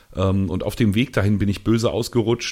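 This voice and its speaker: On a very clean recording with a silent background, an ordinary speaking voice talks at a fairly quick pace. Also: man. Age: young. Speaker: podcast co-host. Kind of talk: casual chat.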